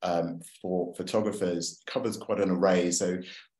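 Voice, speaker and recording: This is a man's voice. He speaks with a London accent. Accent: British (London). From London, England. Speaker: photographer and author giving a talk. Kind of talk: presentation to a club. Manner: hesitant, many fillers.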